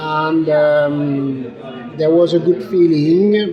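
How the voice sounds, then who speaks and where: A man speaks at a fairly high pitch with ordinary pitch variation. Room echo is audible, and there is noticeable background noise. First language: French. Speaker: winemaker. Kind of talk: casual interview. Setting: busy wine tasting event. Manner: halting.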